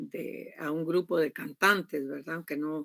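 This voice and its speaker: A woman with a very deep, low voice speaks at a fairly slow pace in a dry, close sound with no echo. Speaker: university lecturer. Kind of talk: online class lecture. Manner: loud.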